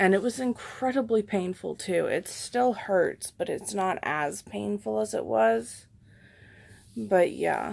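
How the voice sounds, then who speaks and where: Soft-spoken and at a very slow pace, the speaker comes through on a very clean recording with a silent background. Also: woman. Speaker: patient vlogger. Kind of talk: casual vlog update.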